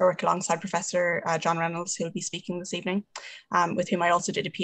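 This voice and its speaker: A woman speaks in an Irish accent at a very fast pace. Her fairly low pitch stays monotone and flat. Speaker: surgeon. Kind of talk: panel moderation.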